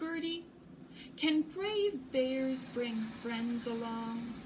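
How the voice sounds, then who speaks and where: A woman speaks very slowly in a put-on character voice pitched high. Background noise is clearly audible. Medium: read story. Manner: nervous, fretful.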